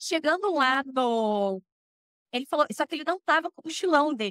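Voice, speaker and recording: Her voice raised and projected, a woman speaks at a moderate pace with an animated tone and high pitch, the sound dry and close with no echo. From Brazil, Curitiba (Paraná). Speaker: expatriate interviewee. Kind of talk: casual interview chat, personal storytelling.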